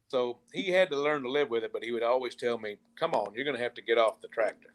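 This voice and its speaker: A very fast-talking man with a strong Southern US accent, medium pitch and ordinary pitch variation. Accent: thick Southern country. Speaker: country musician. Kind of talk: interview.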